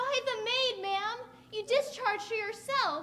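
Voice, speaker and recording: Putting on a squeaky character voice with an extremely high pitch, a woman speaks at a moderate pace with ordinary pitch variation over clear background noise. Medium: stage play. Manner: meek, deferential.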